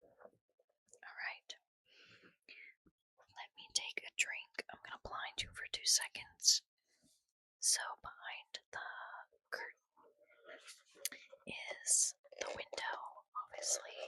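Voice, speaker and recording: Whispering at a very slow pace, with long, frequent pauses. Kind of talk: whispered ASMR book reading, casual talk to camera. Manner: whispered, soft-spoken.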